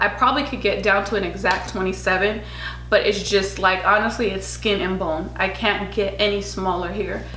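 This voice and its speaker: Room echo rings around a woman speaking at a medium speed, with clear background noise as well. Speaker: beauty and lifestyle vlogger. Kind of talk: casual vlog talk to camera. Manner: chatty with frequent fillers.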